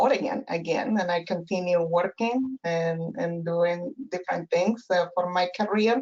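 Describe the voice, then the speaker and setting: A woman speaks in a Peruvian accent. Her pace is fairly slow. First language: Spanish. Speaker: professor and family therapist. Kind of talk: interview. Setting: webinar. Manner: halting, many fillers.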